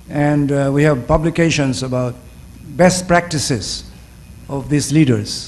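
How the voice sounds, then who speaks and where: Amid audible room echo, a man speaks fairly slowly at a fairly high pitch, with ordinary pitch variation and long, frequent pauses. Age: 70s. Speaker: professor. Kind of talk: panel discussion answer. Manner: halting, many fillers.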